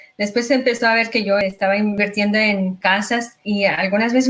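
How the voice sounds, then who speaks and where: Noticeable background noise accompanies a woman talking at a moderate pace with a Mexican accent. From Mexico. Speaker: real estate investor and agent. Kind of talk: interview.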